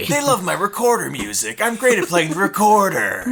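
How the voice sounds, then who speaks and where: In a raspy, put-on character voice, a man speaks at a fairly quick pace with a high pitch. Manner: boastful.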